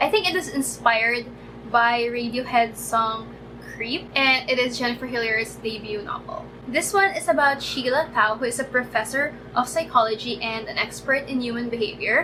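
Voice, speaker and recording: Through noticeable background noise, a woman with a high pitch talks at a moderate pace with ordinary pitch variation. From Philippines. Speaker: book reviewer. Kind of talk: casual talk to camera. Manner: stammering.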